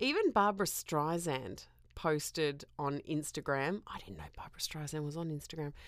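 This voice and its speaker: On a very clean recording with a silent background, a woman with an Australian accent speaks at a moderate pace in a very deep, low pitch. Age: 40s. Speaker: podcast host. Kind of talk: casual solo monologue.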